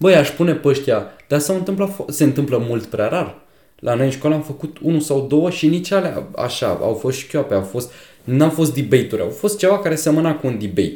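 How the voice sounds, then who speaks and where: This man's pitch sits fairly high, with a dark, mellow tone and a somewhat breathy quality. His intonation is lively and his pace fairly quick. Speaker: podcast co-host. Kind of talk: casual chat.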